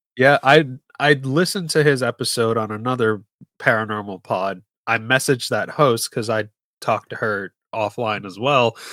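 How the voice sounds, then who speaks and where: Recorded very clean with a silent background and a dry, close sound with no echo, a man with an American accent speaks at a moderate pace in a medium pitch, his tone bright and sharp, with ordinary pitch variation. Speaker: podcast host. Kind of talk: casual chat.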